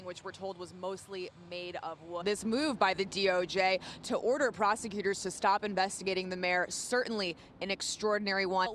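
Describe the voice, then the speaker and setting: A woman's moderately paced speech competes with noticeable noise in the background. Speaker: television news reporter. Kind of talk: TV news field report, reporter reel.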